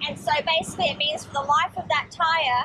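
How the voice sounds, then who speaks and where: Woman at a moderate pace with ordinary pitch variation, against noticeable background noise. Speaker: travel vlogger. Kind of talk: casual vlog chat. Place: car. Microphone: phone near.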